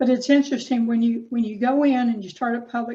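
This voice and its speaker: Flat, monotone intonation carries a dark, mellow tone. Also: woman. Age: 60s. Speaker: caregiver and counselor giving a talk. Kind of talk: presentation. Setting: Zoom video call.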